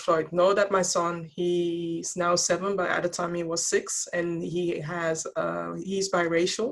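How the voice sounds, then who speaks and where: In a Dutch accent, a woman speaks fairly slowly at a fairly low pitch with monotone, flat intonation. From Netherlands. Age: 40s. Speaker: diversity and wellbeing speaker, podcaster. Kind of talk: interview.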